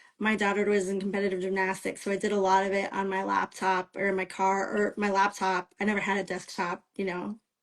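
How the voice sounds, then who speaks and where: In a very clean recording with a silent background, a woman speaks at a moderate pace and medium pitch in a Midwestern American accent. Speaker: romance author. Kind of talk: interview. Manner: casual, with many fillers.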